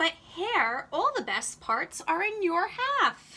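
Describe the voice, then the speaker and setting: In a put-on character voice, a woman pitches her raised, projected voice extremely high. She moves at a fairly slow pace with very wide pitch swings. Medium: read story. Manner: slow, drowsy.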